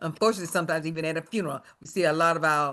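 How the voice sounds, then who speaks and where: A woman with an American accent speaks in an unremarkable speaking voice, pitched fairly low, with ordinary pitch variation. The background is quiet. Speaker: retired educator, association member. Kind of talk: workshop presentation. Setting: video call.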